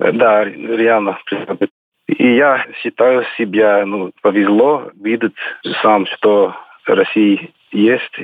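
Very slowly, a man with an English accent speaks at a medium pitch with fairly even intonation. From Scotland. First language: English (speaking Russian). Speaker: former railway engineer, immigrant. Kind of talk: interview.

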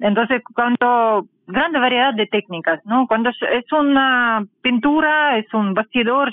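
Very slow and at very even loudness, a woman talks in a high pitch with ordinary pitch variation. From Russian Far East (Khabarovsk). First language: Russian (speaking Spanish). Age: 40s. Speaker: artist and art teacher. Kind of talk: interview. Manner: halting.

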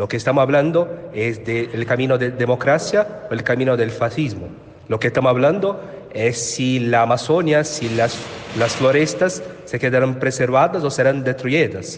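A man with a Portuguese accent at a medium pitch and moderate pace, with lively intonation over noticeable background noise. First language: Portuguese (speaking Spanish). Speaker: journalist and union leader. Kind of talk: interview.

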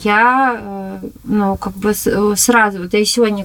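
A woman's voice at a fairly high pitch. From Moscow, Chertanovo district. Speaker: ceramic artist. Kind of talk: interview.

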